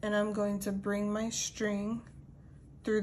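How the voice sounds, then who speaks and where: Audible room echo surrounds a woman's voice. She speaks at medium pitch with monotone, flat intonation. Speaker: crochet tutorial creator. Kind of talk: tutorial. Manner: casual.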